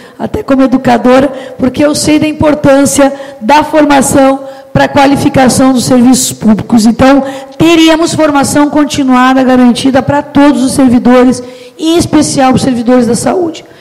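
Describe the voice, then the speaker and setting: A woman's high voice at a moderate pace, with very even loudness, fairly even intonation and noticeable background noise. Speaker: mayoral candidate. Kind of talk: public hearing speech. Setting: public hearing with audience.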